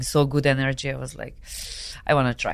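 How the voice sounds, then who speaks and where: Over a silent background in a very clean recording, a woman with a Serbian accent speaks in a very deep, low voice and a monotone, flat intonation. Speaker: adult film performer. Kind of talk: casual interview chat. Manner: halting, limited English; laughs often.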